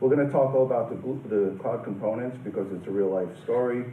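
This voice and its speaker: A man in a New York accent, ordinary pitch variation, and audible room echo. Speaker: company president and conference speaker. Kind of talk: conference presentation. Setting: conference room with audience.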